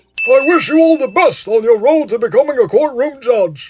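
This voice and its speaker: Put-on character voice from a man, pitched extremely high, delivered at a moderate pace. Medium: fan dub.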